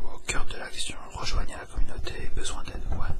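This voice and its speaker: A man whispers over noticeable background noise. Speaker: ASMR YouTuber, game collector unboxing. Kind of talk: casual talk to camera, unboxing.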